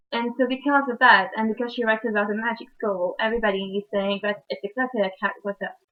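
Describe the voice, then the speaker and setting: Her pitch fairly high, a woman speaks in a French accent with fairly even intonation. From France. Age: young. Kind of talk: book review talk to camera. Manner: casual, hesitant.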